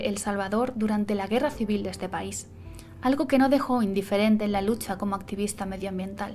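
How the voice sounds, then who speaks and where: A woman's fairly high voice shows ordinary pitch variation, with music in the background. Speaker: illustrator, graphic designer. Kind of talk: biographical narration.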